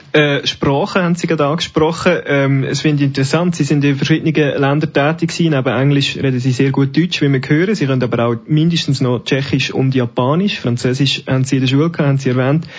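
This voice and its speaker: Speaking at a very fast pace with hardly any pauses, a man keeps a fairly high pitch, fairly even intonation and very even loudness. There is noticeable background noise. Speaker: radio host. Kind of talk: interview. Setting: live event in a library.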